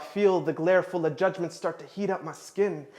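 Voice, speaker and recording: Talking at a fairly quick pace, a man keeps his high voice at fairly even intonation. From Canada. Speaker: spoken word poet. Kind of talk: spoken word performance.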